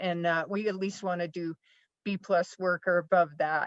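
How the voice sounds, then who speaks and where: At a moderate pace, a plain, everyday voice comes through dry and close with no echo over a quiet background. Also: woman. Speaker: conservation organization director. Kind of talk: panel presentation.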